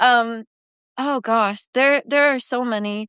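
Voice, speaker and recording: A woman with a Canadian accent speaks at a fairly slow pace in an unremarkable speaking voice, fairly high in pitch with fairly even intonation. The sound is dry and close with no echo, over a quiet background. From small-town Ontario, Canada. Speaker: country singer-songwriter. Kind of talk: interview. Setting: live video stream. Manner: casual, filler-heavy.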